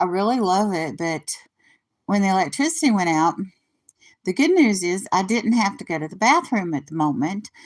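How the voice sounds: Her pitch medium and swinging widely, a woman speaks at a moderate pace.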